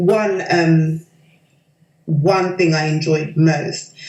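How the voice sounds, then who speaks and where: A woman with a London accent at a very slow pace. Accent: London British. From London, England. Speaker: doctoral researcher. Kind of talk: interview testimonial. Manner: hesitant, many fillers.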